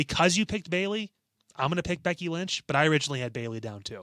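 A man at a very fast pace with lively intonation, in a very clean recording with a silent background. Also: dry, close sound with no echo. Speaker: wrestling podcast co-host. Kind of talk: casual chat. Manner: loud.

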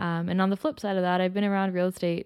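In a very clean recording with a silent background, a woman with a Toronto accent speaks at a medium pitch. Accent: Canadian (Toronto). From Toronto, Canada (Scarborough). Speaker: podcast co-host, real estate agent. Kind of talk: casual chat.

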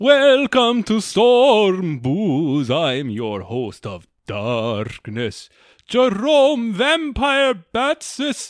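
In a put-on character voice, a man speaks at a high pitch and a very slow pace. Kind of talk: theatrical horror host. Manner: spooky, theatrical.

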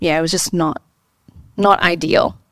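A woman with a plain, everyday voice talks at a fairly quick pace, her pitch fairly low. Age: 20s. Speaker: entrepreneur. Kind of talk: interview. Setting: studio.

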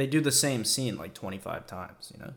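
An ordinary speaking voice from a man, medium pitch, lively intonation and a fairly quick pace. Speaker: podcast host. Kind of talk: casual comedic rant about a TV show. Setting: solo monologue. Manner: informal, profane, joking.

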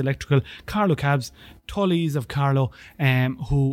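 A man speaks in an Irish accent at a fairly high pitch and a moderate pace. The recording is very clean, with a silent background. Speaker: student union podcast host. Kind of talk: sponsor thanks; casual chat interview. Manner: halting, many fillers and repeats.

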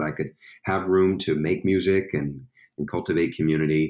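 A man with an American accent and ordinary pitch variation. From Staten Island, New York. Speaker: musician. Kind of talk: casual chat. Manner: halting.

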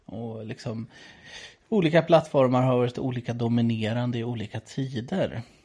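A man's dark, mellow, somewhat breathy voice at a medium pitch, with ordinary pitch variation, a moderate pace and big swings in loudness. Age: 30s. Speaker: priest, podcast co-host. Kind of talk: casual chat.

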